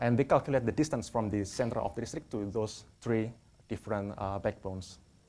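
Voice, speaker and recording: With a non-native accent, a man talks at a fairly quick pace in a dark, mellow tone, his fairly low pitch showing ordinary variation. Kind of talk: academic presentation.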